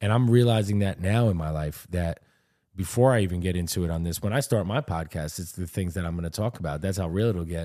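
A man's very deep, low voice with a dark, mellow tone, very fast pace, ordinary pitch variation, very clean recording and silent background. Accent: New York. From New York. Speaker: podcast co-host. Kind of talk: casual chat.

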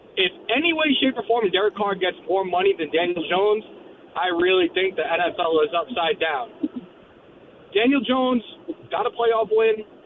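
With an American accent, a man speaks at a high pitch with lively intonation over noticeable background noise. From New Jersey. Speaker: caller. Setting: phone call.

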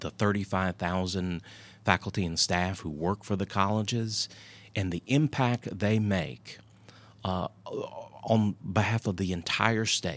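A man speaks at a fairly slow pace with a fairly low pitch and ordinary pitch variation. Long, frequent pauses break up his speech, on a very clean recording with a silent background. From North Carolina (Southport coast and Hendersonville mountains). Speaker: community college system president. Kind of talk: interview.

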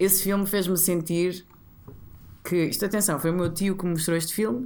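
Speaking at a fairly quick pace, a woman with a Porto accent uses a fairly low pitch. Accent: northern Portuguese (Porto). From northern Portugal, Porto area (Matosinhos, Maia). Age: 30s. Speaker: TV presenter and actress. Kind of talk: casual chat. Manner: animated.

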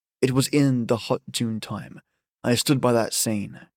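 The speaker reads aloud in a natural voice, intonation fairly even. Behind it, the background stays quiet.

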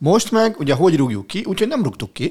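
A man talks at a very fast pace with very wide pitch swings. The recording is very clean with a silent background. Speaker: sports podcast co-host. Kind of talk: casual chat. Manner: animated.

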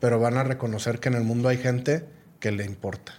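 A man with a plain, everyday voice speaks at a fairly quick pace, medium in pitch and fairly even in intonation. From Guadalajara, Mexico. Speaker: entrepreneur and business executive. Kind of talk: casual interview conversation.

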